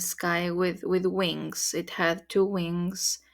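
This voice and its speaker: A woman with a Spanish accent, speaking at a very slow pace, on a very clean recording with a silent background. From Mexico. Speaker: spiritual content creator. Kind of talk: personal testimony.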